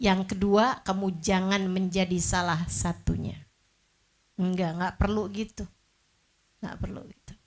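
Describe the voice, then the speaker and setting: Somewhat breathy, a woman speaks at a fairly slow pace with long, frequent pauses. Her intonation is fairly even, while her loudness swings widely. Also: medium pitch for a woman. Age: 40s. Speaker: female Islamic preacher. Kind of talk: religious lecture. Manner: casual, conversational.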